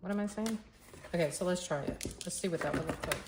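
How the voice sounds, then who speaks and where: Fairly low-pitched woman's voice with fairly even intonation over noticeable background noise. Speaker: crafter making art tutorials. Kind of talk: casual crafting tutorial, thinking aloud. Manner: halting, self-correcting.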